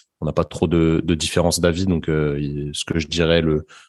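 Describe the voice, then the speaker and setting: A man with a very deep, low voice talks at a moderate pace with fairly even intonation. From Paris suburbs, France. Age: 20s. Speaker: sports physiotherapist. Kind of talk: casual interview. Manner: hesitant, many fillers and repetitions.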